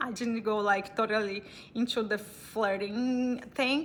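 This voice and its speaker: A woman with a Brazilian accent, fairly high in pitch, at a very slow pace with ordinary pitch variation. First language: Portuguese. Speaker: vlogger. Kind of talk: casual storytelling. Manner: halting.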